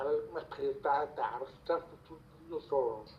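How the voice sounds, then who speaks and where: With an American accent, a man talks while noticeable background noise sounds around him. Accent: deaf speech. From Virginia, US. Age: 40s. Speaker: interviewee. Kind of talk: self-introduction.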